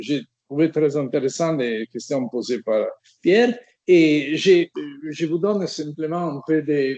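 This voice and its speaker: Spoken very slowly in an Italian accent, the voice has a dark, mellow tone and ordinary pitch variation. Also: man, fairly high pitch for a man. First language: Italian (speaking French). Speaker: semiotics professor. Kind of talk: academic lecture. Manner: halting, many hesitations.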